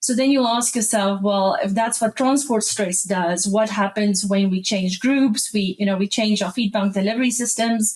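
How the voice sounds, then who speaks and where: Against noticeable background noise, the speech moves at a moderate pace with fairly even intonation and hardly any pauses. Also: woman, fairly high pitch for a woman. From South Africa. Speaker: animal nutritionist. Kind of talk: podcast interview.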